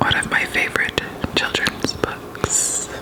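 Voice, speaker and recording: A woman is whispering in a calm tone. Noticeable background noise can be heard. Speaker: ASMR creator. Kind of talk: bedtime story reading. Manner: whispered; soft-spoken, calm.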